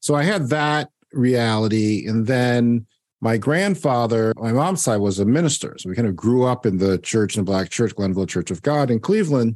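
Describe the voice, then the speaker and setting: A man with an American accent and a plain, everyday voice, medium pitch, lively intonation and a moderate pace, against a quiet background. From Ohio, US. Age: 50s. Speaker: author and political commentator. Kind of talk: interview.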